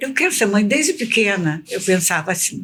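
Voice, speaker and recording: A woman's fairly high voice swings very widely in pitch. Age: 70s. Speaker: retired teacher and educational counselor. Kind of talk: casual chat.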